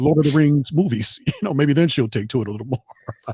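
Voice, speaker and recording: This man has an unremarkable speaking voice, fairly high in pitch, with ordinary pitch variation. He talks at a fairly quick pace, and the sound is dry and close with no echo. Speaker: podcast and stream co-host.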